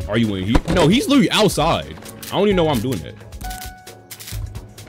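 A man speaks with clear music in the background. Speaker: gamer streamer. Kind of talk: gameplay commentary. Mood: tense, nervous, joking. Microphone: headset.

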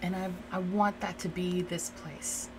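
Soft-spoken and with a gentle tone, a woman with an American accent talks at a moderate pace in monotone, flat intonation over noticeable background noise. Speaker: ASMR creator doing a roleplay. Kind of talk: asmr roleplay, soothing talk to a listener. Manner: soft, reassuring, gentle. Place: home room.

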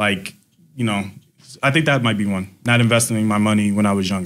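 A man at a fairly quick pace, with a fairly bright tone and ordinary pitch variation. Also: fairly low pitch for a man.

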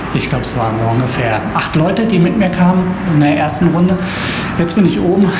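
A man takes a fairly slow pace while noticeable background noise is heard. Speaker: travel vlogger. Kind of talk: casual vlog chat. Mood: relaxed, enthusiastic. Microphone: phone near.

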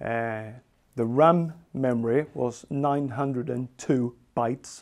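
A man talks with a Swedish accent. The background is quiet. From Sweden. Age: 40s. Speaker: software engineer; presenter. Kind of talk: technical talk. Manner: halting. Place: home room.

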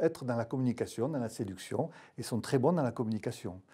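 Over a quiet background, a man with a southern French accent speaks at a moderate pace, his dark, mellow tone shaped by lively intonation. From southern France. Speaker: pain medicine doctor. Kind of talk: expert panel discussion. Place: studio. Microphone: lapel.

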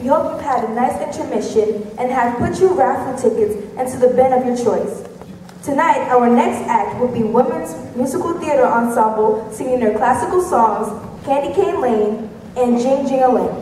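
Her pitch high, a woman talks at a moderate pace with ordinary pitch variation, with audible room echo and light background noise. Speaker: master of ceremonies. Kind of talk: rhymed stage announcement, formal and scripted, introducing acts. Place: stage.

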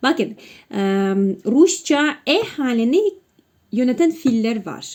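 A woman with a Russian accent and a high pitch speaks at a very slow pace with lively intonation. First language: Russian (speaking Turkish). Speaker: language teacher. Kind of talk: tutorial. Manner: halting.

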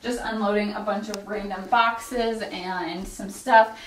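Against light background noise and audible room echo, a woman talks at a moderate pace with ordinary pitch variation. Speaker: homeowner vlogger. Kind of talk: casual vlog chat. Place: home room. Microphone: camera far.

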